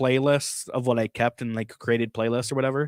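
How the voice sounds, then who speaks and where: At a fairly quick pace, a man with an ordinary speaking voice and a medium pitch is heard on a very clean recording with a silent background and a dry, close sound with no echo. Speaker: streamer. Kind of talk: casual chat. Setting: live stream.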